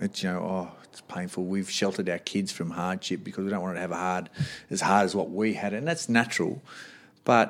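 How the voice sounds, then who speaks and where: The recording is very clean with a silent background as a man talks in a fairly low register. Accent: Australian. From Australia, Sydney. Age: 40s. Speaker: boxing coach and gym owner. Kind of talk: casual interview.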